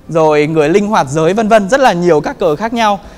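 A man's high voice, fairly quick, with ordinary pitch variation. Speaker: presenter. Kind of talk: lecture. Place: hall. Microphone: handheld.

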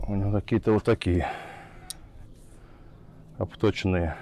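Fairly slow, fairly even speech from a man with a low pitch and a dark, mellow tone, over faint background noise.

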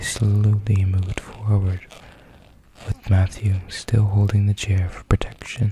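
A soft-spoken man speaks fairly slowly in a fairly low, monotone, flat voice. The sound is dry with no echo, though noticeable background noise is present. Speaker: storyteller. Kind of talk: soft spoken story reading. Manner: soft, hushed ASMR storytelling voice. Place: home room. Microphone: studio mic.

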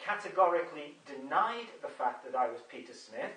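A man's voice in an English accent at a moderate pace with audible room echo. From England. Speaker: video blogger. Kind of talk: monologue video update. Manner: hesitant, many fillers. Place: home room. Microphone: camera far.

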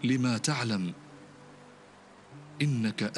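At a very slow pace, a man talks with ordinary pitch variation over light background noise. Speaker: imam and Quran reciter. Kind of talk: supplication during night prayer. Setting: mosque. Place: church.

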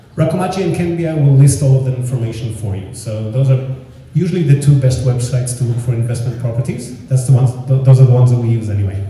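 Over light background noise and audible room echo, a man speaks with ordinary pitch variation. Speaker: real estate consultant. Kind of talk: seminar presentation. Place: hall. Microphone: pa.

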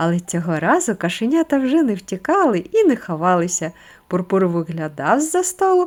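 A reading voice that sounds natural

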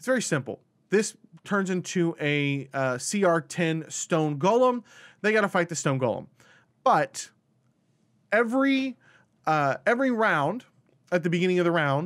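Lively intonation marks this man's fairly slow speech. He takes long, frequent pauses against a quiet background. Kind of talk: tutorial commentary on a tabletop game encounter.

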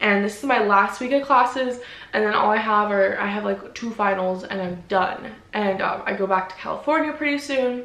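A woman's moderately paced speech with ordinary pitch variation and audible room echo. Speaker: vlogger. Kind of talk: casual vlog chat. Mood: earnest, reflective. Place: home room.

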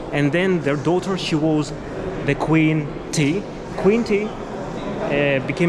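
Through loud background noise, a man talks at a very slow pace with ordinary pitch variation. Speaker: travel vlogger guide. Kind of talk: casual vlog tour commentary. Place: hall. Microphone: phone near.

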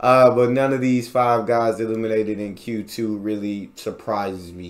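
At a very slow pace, a man speaks with a fairly low pitch. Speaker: reaction youtuber. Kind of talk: casual video reaction, chatting to viewers. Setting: home recording, reacting to a video. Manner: animated, conversational, excitable.

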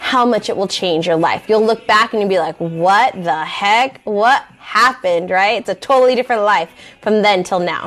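In an American accent, a woman speaks at a moderate pace. Her pitch varies in an ordinary way. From Southern California. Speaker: life coach; life coach host. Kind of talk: casual talk to camera. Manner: conversational, with fillers. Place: home room. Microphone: phone near.

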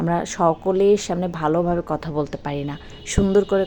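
A woman speaks with music in the background. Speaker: home baker and small business owner. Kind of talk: motivational talk.

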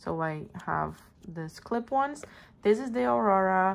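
A woman with a Portuguese accent, at a very slow pace. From Brazil. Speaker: planner and stationery youtuber; stationery youtuber. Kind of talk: casual show-and-tell video. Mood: relaxed, friendly. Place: home room. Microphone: phone near.

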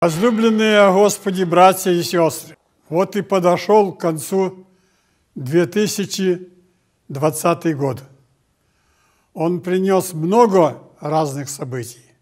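Against a quiet background, a high-pitched man speaks at a very slow pace with long, frequent pauses and ordinary pitch variation. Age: 80s+. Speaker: Orthodox metropolitan bishop. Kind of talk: New Year address read from teleprompter. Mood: calm, warm, solemn. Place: hall.

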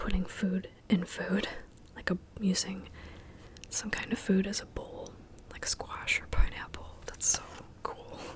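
Whispering, a woman speaks at a fairly slow pace. Her speech has long, frequent pauses. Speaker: ASMR creator. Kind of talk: ASMR casual ramble. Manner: whispered, soft-spoken. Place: home room. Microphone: studio mic.

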